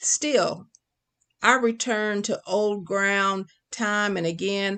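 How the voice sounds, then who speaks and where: Against a quiet background, a woman with a medium pitch speaks at a very slow pace. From Kentucky, rural south central (Casey County). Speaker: poet and creative writing professor. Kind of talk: poetry reading; interview conversation.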